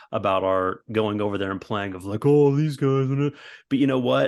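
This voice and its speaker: With an American accent, a man talks in a normal speaking voice at medium pitch with ordinary pitch variation against a quiet background. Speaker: football supporters club member. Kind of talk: casual chat.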